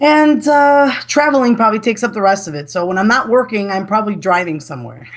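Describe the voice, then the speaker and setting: Someone with a Chicago accent talks very fast with hardly any pauses and very wide pitch swings over noticeable background noise. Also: woman, fairly high pitch for a woman. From US Midwest, Chicago. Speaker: gaming website manager. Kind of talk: casual interview chat. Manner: halting, many fillers and restarts.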